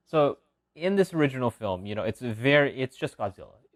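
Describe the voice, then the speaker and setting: This man's voice sits at a medium pitch and swings very widely up and down. He talks at a fairly quick pace. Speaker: video essayist. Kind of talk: casual commentary video. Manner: fast; filler-heavy, unscripted.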